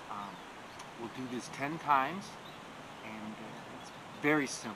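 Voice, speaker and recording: Noticeable background noise beneath speech of moderate pace and ordinary pitch variation. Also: man. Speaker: meditation teacher. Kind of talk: guided breathing meditation. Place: garden.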